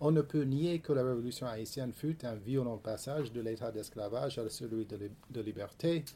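With an English accent, a man talks at medium pitch in a somewhat breathy voice with a dark, mellow tone. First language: English (speaking French). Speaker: history professor. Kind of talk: reading aloud; panel discussion. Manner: halting.

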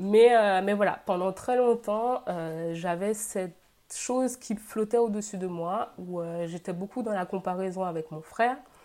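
This woman has a medium-pitched voice with a dark, mellow tone. She talks at a fairly slow pace with ordinary pitch variation. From Guadeloupe. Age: 20s. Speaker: social media creator and engineer. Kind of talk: interview testimony.

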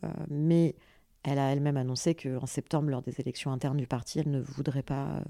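A woman with a very deep, low pitch and a dark, mellow tone speaks at a moderate pace. Her intonation is fairly even, on a very clean recording with a silent background. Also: dry, close sound with no echo. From France, Paris and Béziers region. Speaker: social entrepreneur and activist. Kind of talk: interview conversation.

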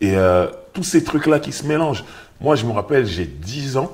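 A man talks at a fairly slow pace with a medium pitch and vocal fry. His pitch swings very widely. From Paris suburbs (Sarcelles). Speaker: rapper and author. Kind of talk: casual interview. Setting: bookshop cultural space.

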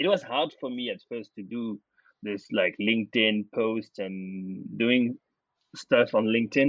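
Speaking with a French accent, a man uses a medium pitch. His pace is fairly slow. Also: ordinary pitch variation. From France. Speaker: data platform founder. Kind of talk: interview.

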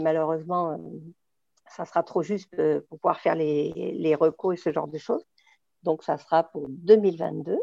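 A dark, mellow tone with a dry, close sound and no echo. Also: woman. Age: 50s. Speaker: rally driver and event organizer. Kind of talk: interview.

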